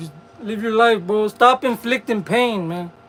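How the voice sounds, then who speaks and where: A man talks at a high pitch. Noticeable background noise sits behind him. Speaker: livestreamer. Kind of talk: casual livestream chat.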